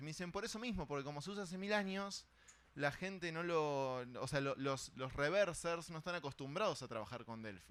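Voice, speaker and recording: A man with a Rioplatense accent and lively intonation. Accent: Argentine Rioplatense Spanish. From Argentina. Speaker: cybersecurity conference speaker. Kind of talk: conference talk. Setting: stage with audience. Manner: casual, conversational.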